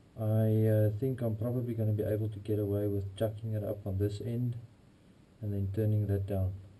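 A man speaks at a fairly quick clip in a somewhat breathy voice with a dark, mellow tone. His intonation stays monotone and flat. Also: fairly low pitch for a man. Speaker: hobby machinist YouTuber. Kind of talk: workshop tutorial; casual workshop tutorial chat. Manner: casual, hesitant with fillers. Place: workshop. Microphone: bad audio, camera in waterproof housing; camera far.

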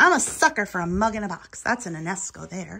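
The voice has a bright, sharp tone with a slightly husky edge and vocal fry, moving at a fairly quick pace through big pitch swings. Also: woman, medium pitch for a woman.

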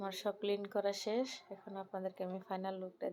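A woman speaks in a dark, mellow tone at a medium pitch. Her intonation stays monotone and flat. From Bangladesh, Brahmanbaria. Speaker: homemaker vlogger. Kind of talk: casual vlog narration.

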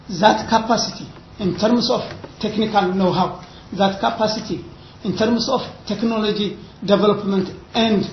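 Room echo is audible, along with light background noise. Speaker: university academic. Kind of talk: seminar presentation. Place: meeting room. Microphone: camera far.

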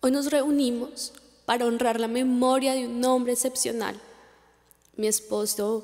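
The woman's voice is high in pitch, with monotone, flat intonation. Her loudness stays very even. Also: quiet background. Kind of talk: memorial speech. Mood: solemn, emotional. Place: stage.

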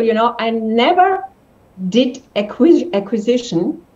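Lively intonation at a fairly slow pace. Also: woman. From Germany. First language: German. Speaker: entrepreneur; interview guest. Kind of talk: interview. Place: home room. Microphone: video call.

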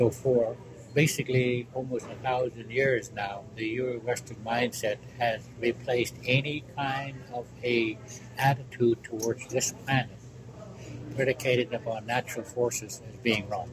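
Over noticeable background noise, a man speaks at a fairly slow pace in a medium pitch with monotone, flat intonation. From Alaska. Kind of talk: oral history interview answer.

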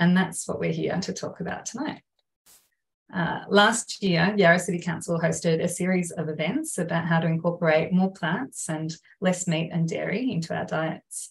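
A woman with an Australian accent, fairly low pitch, vocal fry, fairly even intonation and a moderate pace. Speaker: council climate engagement officer, moderator. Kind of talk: webinar moderation. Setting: video call webinar. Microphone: video call.

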